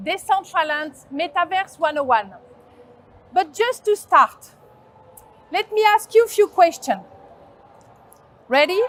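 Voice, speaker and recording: With a strong French accent, a woman speaks at an extremely high pitch and a fairly slow pace, her intonation lively. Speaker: agency founder, conference speaker. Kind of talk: conference talk. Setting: stage with audience.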